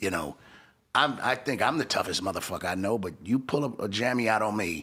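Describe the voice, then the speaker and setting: Bright and sharp in tone, a man speaks at a fairly low pitch and fairly quick pace with lively intonation. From Los Angeles. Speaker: hip-hop entrepreneur. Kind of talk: interview.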